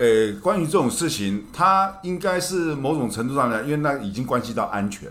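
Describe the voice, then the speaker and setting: Talking at a fairly quick pace with hardly any pauses, a man with a Taiwanese accent uses a fairly high pitch and very wide pitch swings. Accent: Taiwanese Mandarin. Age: 50s. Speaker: shopping channel presenter. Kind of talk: casual chat.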